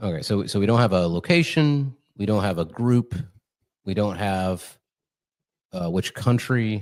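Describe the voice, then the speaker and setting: Soft-spoken and at a fairly slow pace, a man talks with ordinary pitch variation and long, frequent pauses in a very clean recording with a silent background. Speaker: podcast host. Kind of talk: casual chat. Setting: studio. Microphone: slight room echo.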